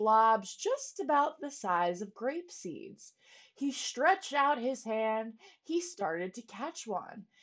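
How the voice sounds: The recording has a natural reading voice over a quiet background.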